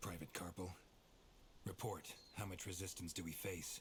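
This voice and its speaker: A man uses a put-on character voice, raspy and very deep, with monotone, flat intonation. He speaks at a moderate pace over clear background noise. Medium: video game. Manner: clipped, commanding.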